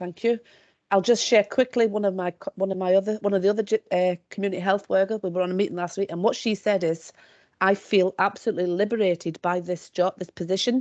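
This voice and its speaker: Delivered at a very fast pace with fairly even intonation, this voice has an English accent and a dry, close sound with no echo. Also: woman, medium pitch for a woman. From Scotland, South Lanarkshire. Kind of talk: webinar discussion.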